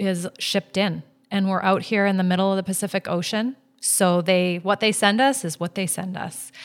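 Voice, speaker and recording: A plain, everyday voice from a woman, medium in pitch with fairly even intonation at a moderate pace, on a very clean recording with a silent background. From Vancouver, Canada. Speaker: flower shop owner. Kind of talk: casual interview.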